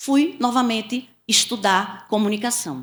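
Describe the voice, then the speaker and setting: With a northeastern Brazilian accent, a woman speaks with ordinary pitch variation. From Pernambuco, Brazilian Northeast. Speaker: communication mentor, former sales executive. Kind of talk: interview storytelling. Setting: podcast studio, streamed live.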